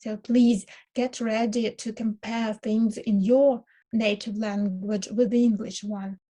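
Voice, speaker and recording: Against a quiet background, a woman with a fairly high, somewhat breathy voice and a dark, mellow tone speaks at a very slow pace in a monotone, flat intonation. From Ukraine. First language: Ukrainian. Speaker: university lecturer. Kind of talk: lecture. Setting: online lecture, recorded for video. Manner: hesitant, many filler sounds. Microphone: webcam.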